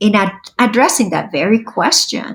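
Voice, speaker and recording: A woman's fairly high, somewhat breathy voice with a Spanish accent. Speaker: state language program director. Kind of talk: interview.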